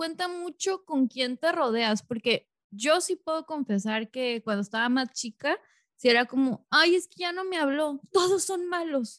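Her voice sits high and swings very widely in pitch at a fairly slow pace. The sound is dry and close with no echo, against a quiet background. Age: 30s. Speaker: podcast host. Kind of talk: casual chat.

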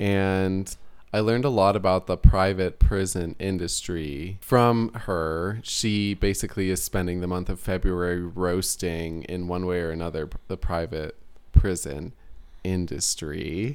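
In a General American accent, a man speaks with a very deep, low pitch and ordinary pitch variation. He goes at a fairly slow pace on a very clean recording with a silent background. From Colorado, US. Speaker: podcast co-host. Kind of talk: casual chat.

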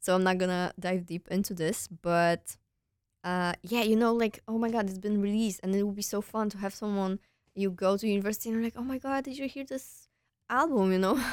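A woman with a Polish accent speaks fairly quickly at a medium pitch with ordinary pitch variation, recorded dry and close with no echo against a very clean, silent background. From Poland. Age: 20s. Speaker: university student podcast host. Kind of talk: casual monologue. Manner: hesitant, many fillers.

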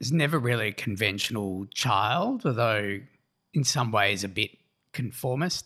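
On a very clean recording with a silent background, a man with an Australian accent speaks in a bright, sharp tone at medium pitch and a moderate pace, keeping his loudness very even. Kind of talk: interview. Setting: around a kitchen table.

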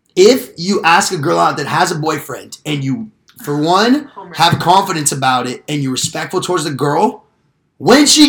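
A man talks at a moderate pace in an animated tone. His pitch swings very widely. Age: 20s. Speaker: podcast host. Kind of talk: casual chat.

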